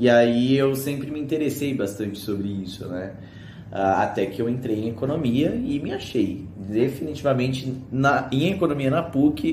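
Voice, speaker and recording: The man has a medium pitch, ordinary pitch variation and a somewhat breathy sound. He talks at a fairly slow pace, with audible room echo. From Brazil, São Paulo. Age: 20s. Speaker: economics student. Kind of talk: casual video presentation. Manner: hesitant, many fillers.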